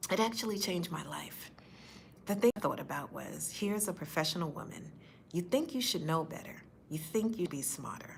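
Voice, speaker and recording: With lively intonation and a fairly low pitch, a woman speaks at a fairly quick pace. Her loudness swings widely, and room echo is audible. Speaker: faith-based speaker sharing personal story. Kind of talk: personal testimony. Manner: occasional stutter; earnest, direct.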